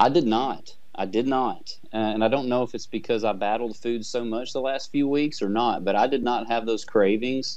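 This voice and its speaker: Moderate pace, fairly even intonation and hardly any pauses, over a quiet background. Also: man. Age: 40s. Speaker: amateur bodybuilder. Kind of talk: interview. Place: office. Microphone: video call.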